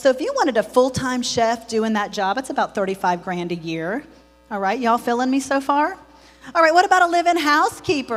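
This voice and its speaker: Over music in the background, a woman speaks at a high pitch in an animated tone. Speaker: home care business owner. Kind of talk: conference presentation. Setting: stage with audience. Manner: fast.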